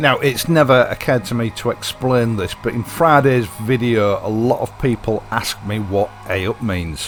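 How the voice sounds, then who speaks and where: Through noticeable background noise, a man speaks at a medium pitch and a moderate pace with ordinary pitch variation and hardly any pauses. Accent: Yorkshire. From East Yorkshire, England. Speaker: motorcycle vlogger. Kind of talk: casual vlog talk.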